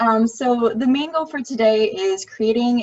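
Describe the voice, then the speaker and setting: The speaker is a woman with a fairly high pitch. Her voice is somewhat breathy. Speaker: web design instructor. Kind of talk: online tutorial class. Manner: fast.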